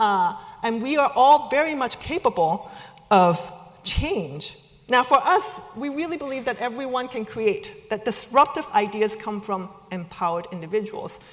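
This woman's voice is high-pitched. Her pitch swings very widely. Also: moderate pace. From China. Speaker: speaker at a business school event. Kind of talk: talk to an audience. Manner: hesitant, many fillers.

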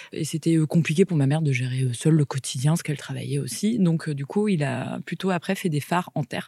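A woman's very deep, low voice has a dark, mellow tone and is somewhat breathy, with ordinary pitch variation and a dry, close sound with no echo. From Brittany, France. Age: 30s. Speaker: lighthouse keeper's daughter. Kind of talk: interview testimony.

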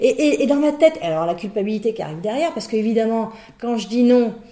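Very fast speech over noticeable background noise. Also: woman. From Brittany, France. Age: 50s. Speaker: business owner and executive coach. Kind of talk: interview.

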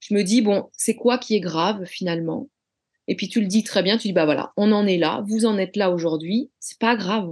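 In a quiet background, a woman with a fairly high pitch talks at a moderate pace, with ordinary pitch variation. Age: 40s. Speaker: flight attendant. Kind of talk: interview. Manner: halting.

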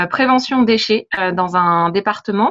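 At a very slow pace, a woman speaks with a fairly high pitch and a bright, sharp tone. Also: quiet background. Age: 30s. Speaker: travel blogger and translator. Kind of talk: interview.

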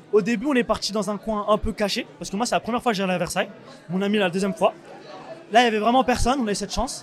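The speaker talks at a very fast pace with ordinary pitch variation over noticeable background noise. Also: man, high pitch for a man. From France, Paris suburbs (Saint-Ouen). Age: 20s. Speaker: young photographer. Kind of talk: interview.

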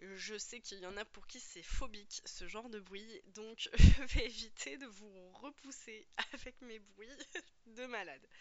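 Delivered at a very slow pace, the speech has ordinary pitch variation and big swings in loudness. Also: woman, fairly high pitch for a woman. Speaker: podcast host and personal development coach. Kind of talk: solo podcast monologue, coaching talk. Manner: casual, hesitant with frequent fillers.

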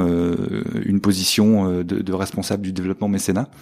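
A man's very deep, low voice in a monotone, flat delivery, against noticeable background noise. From northern France. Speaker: fundraising manager at a business school. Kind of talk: interview.

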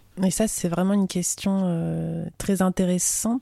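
Dark and mellow in tone, a woman's voice stays monotone and flat. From France, small town. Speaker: podcast host. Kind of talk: interview.

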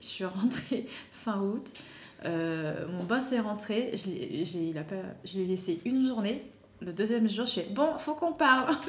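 Very slowly, a woman speaks with a fairly high pitch and very wide pitch swings. Audible room echo surrounds her voice. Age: 30s. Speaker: wellness coach for mothers. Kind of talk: interview.

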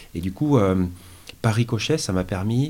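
A man talks in a dark, mellow, somewhat breathy tone. His pitch shows ordinary variation. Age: 40s. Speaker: mountaineer, automotive engineer. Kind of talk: casual interview. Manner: halting, many fillers.

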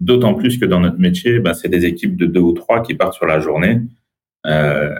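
At a moderate pace, a man speaks. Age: 30s. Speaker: entrepreneur and business buyer. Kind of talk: interview.

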